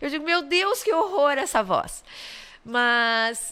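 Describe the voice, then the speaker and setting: Speaking at a very slow pace, a woman's voice has a bright, sharp tone. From southern Brazil, Caxias do Sul. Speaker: public prosecutor. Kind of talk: interview conversation. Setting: studio podcast.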